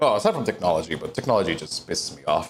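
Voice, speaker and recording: An animated tone with vocal fry. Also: man. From Latin America. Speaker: VTuber streamer and voice actor. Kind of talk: live stream cooking chat. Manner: loud.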